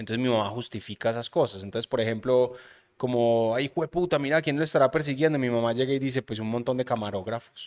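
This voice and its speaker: The pace is very fast, with ordinary pitch variation. The background is quiet. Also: man. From Colombia, Medellín. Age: 30s. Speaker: podcast host. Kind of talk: casual chat. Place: studio. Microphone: studio mic.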